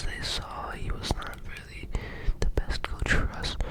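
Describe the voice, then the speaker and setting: A man whispers at a moderate pace. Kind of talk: ASMR storytelling. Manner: soft-spoken.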